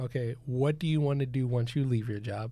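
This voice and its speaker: Somewhat breathy and flat, a man delivers his words at medium pitch in a monotone. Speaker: podcast host. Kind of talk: casual chat.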